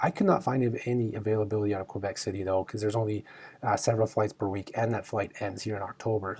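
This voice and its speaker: A man with a Canadian accent talks at a very fast pace. His voice is fairly low in pitch and somewhat breathy. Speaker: travel rewards video host. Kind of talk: casual news discussion. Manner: halting, filler-heavy; animated.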